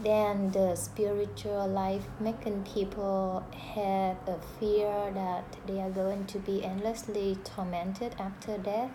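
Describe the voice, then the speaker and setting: A woman talks at a very slow pace and a medium pitch. Room echo is audible. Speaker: student. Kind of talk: class discussion recording. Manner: hesitant, many fillers.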